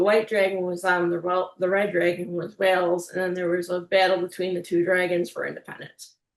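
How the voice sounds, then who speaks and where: This woman talks at a very fast pace with an Illinois accent. Her pitch is medium and her intonation is monotone and flat. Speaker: music producer and youtuber, language learner. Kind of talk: casual chat.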